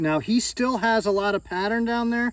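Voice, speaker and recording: A man speaks loud at a fairly slow pace. The recording is very clean, with a silent background. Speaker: snake breeder, reptile channel host. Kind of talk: casual show-and-tell video. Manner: loud at moments.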